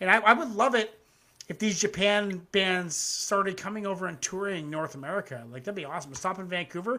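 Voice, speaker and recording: A man talks at a fairly quick pace in a high, bright, sharp voice. He projects loudly, with big swings in volume. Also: ordinary pitch variation. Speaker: music reaction livestream host. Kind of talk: casual livestream commentary. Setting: live YouTube stream. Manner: loud, yelling at times.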